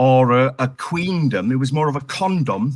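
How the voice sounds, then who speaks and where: Speaking at a fairly slow pace, a man talks with a Welsh accent. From Wales. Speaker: comedian. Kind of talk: pun competition. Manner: halting.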